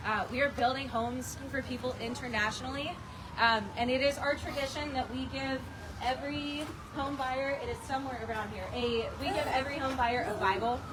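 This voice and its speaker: Loud and high-pitched, a woman talks at a fairly quick pace amid audible room echo and noticeable background noise. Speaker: nonprofit volunteer coordinator. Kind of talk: ceremony speech. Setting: outdoors, rain.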